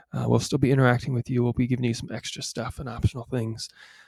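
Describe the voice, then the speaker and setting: A quiet, somewhat breathy man's voice at medium pitch, dark and mellow in tone, with a dry, close sound and no echo. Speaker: science teacher. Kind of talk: remote class video tutorial. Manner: casual, with fillers.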